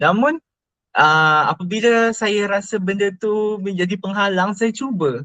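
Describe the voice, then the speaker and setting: A man's raised, projected voice, high in pitch with a bright, sharp tone and ordinary pitch variation. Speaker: university student. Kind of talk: interview. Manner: hesitant, many fillers.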